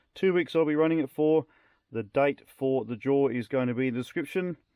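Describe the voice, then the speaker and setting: Moderate-paced speech from a man with an Australian accent, medium in pitch with ordinary pitch variation, in a dry, close sound with no echo over a quiet background. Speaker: drone hobbyist YouTuber. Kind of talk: casual video presentation. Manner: casual, conversational.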